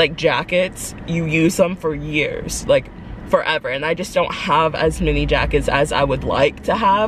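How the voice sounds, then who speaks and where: Over light background noise, a woman speaks at a fairly slow pace in a dry sound with no echo. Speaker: vlogger. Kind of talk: casual vlog chat. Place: car. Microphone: phone near.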